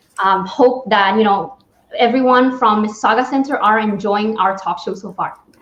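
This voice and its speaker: A woman's fairly high voice with a Spanish accent, at a moderate pace and with ordinary pitch variation. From Spain. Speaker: talk show host. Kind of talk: interview.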